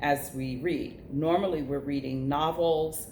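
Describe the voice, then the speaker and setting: A woman talks fairly slowly. The room echo is audible. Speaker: teacher. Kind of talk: video reflection.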